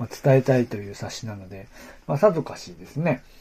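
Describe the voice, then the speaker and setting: Pitched in the medium range, a man's voice swings very widely up and down. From Aomori, Japan. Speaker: podcast host. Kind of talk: casual solo talk about local history. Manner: hesitant, many fillers.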